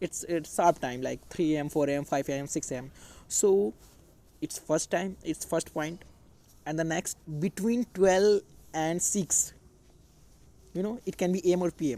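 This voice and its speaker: At a moderate pace with an Indian accent, the speaker leaves long, frequent pauses. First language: Hindi. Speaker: English teacher. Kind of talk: tutorial. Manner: halting.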